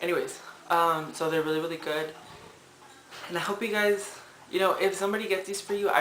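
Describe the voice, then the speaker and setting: Noticeable background noise sits behind speech delivered at a very fast pace. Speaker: drag queen vlogger. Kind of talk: casual vlog tutorial.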